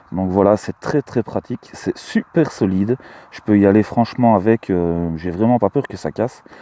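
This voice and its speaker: A man with a fairly low pitch and ordinary pitch variation speaks at a moderate pace with big swings in loudness, in a dry, close sound with no echo. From Belgium, Luxembourg province. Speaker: metal detecting hobbyist vlogger. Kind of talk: casual vlog commentary. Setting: outdoors in a field. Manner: hesitant, many fillers.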